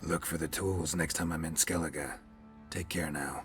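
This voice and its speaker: A man's put-on character voice, very deep and low, monotone and flat at a moderate pace, with clear music in the background. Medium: video game. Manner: terse, clipped.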